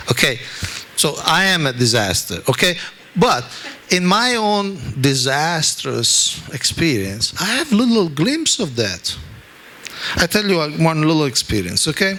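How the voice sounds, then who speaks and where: A man with an Italian accent talks at a fairly high pitch with very wide pitch swings and very even loudness. He keeps a fairly slow pace with long, frequent pauses, over noticeable background noise. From Italy. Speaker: spiritual teacher. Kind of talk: religious talk.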